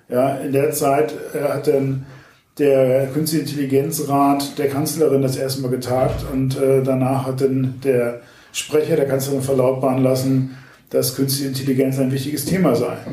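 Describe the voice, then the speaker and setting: A man speaks in a monotone, flat intonation, with audible room echo. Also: medium pitch for a man, moderate pace. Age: 40s. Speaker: media startup executive and party activist. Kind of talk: interview.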